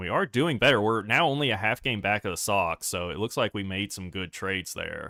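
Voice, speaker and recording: A man with a fairly low pitch and a normal speaking voice talks at a fairly quick pace with ordinary pitch variation and hardly any pauses. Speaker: gaming streamer. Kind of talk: live gameplay stream commentary.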